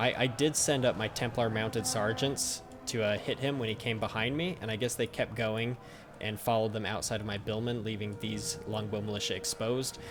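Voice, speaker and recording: A man with a fairly low voice talks with fairly even intonation. Music plays in the background. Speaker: gaming YouTuber. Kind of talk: gameplay commentary. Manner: halting, many fillers; fast.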